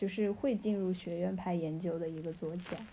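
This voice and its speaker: Somewhat breathy and dark, mellow in tone, a woman's voice moves at a moderate pace with ordinary pitch variation. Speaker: PhD student in comparative literature. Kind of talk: casual chat.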